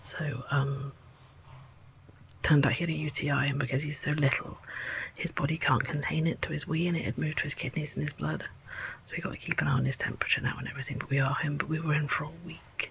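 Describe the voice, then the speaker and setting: Against noticeable background noise, the speaker talks at a very fast pace in a monotone, flat intonation. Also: woman. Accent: English. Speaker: vlogger. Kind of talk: casual vlog.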